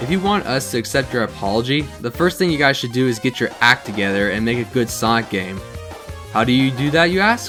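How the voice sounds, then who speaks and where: Music plays in the background as a man talks at a medium pitch. His pitch swings very widely. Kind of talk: game critique commentary. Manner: fast; emotive, ranting.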